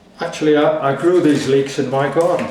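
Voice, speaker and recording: Audible room echo and noticeable background noise surround the recording. A man with a fairly high pitch talks at a moderate pace, his pitch varying in an ordinary way. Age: 80s+. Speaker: home cook. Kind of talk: tutorial.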